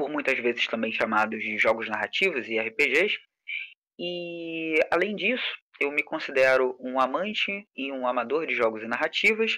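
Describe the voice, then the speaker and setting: A man speaks in a Carioca accent with a fairly high pitch and a bright, sharp tone. His intonation is lively and his pace moderate. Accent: carioca, chiado (hissing s). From Rio de Janeiro periphery, Brazil. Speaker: game designer and teacher. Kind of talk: online lecture. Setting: live stream with chat.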